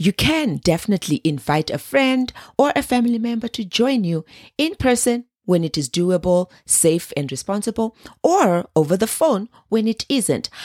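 Very clean and silent in the background, the recording has a dry, close sound with no echo. A woman at medium pitch speaks at a moderate pace with very wide pitch swings. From Zimbabwe. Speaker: wellness podcast host. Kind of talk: scripted solo podcast monologue.

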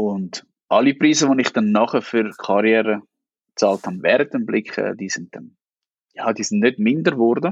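With an Aargau accent, a man speaks at a moderate pace and medium pitch, his pitch variation ordinary. He leaves long, frequent pauses. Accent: Swiss German (Aargau). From Switzerland, Aargau (Niederwil). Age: 30s. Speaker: newspaper editor-in-chief. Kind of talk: interview.

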